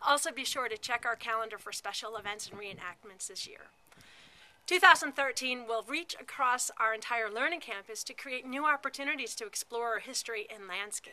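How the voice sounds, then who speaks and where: Moderate pace, big swings in loudness and ordinary pitch variation. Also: woman, high pitch for a woman. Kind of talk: annual report address. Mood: upbeat, promotional. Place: street. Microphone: phone near.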